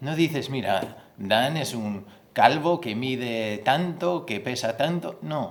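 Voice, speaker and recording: A man at medium pitch speaks at a very slow pace with lively intonation. Audible room echo surrounds his voice. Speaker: pastor. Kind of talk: sermon. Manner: halting, repeats words.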